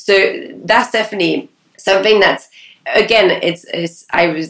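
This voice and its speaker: A woman with a French accent and ordinary pitch variation. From France. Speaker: talent agency founder. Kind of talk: interview.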